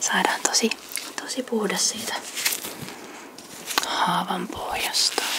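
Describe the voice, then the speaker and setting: Noticeable background noise fills the clip. Over it comes a whisper. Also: woman. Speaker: ASMR creator playing a nurse. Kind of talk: ASMR nurse roleplay. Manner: soft-spoken, whispering.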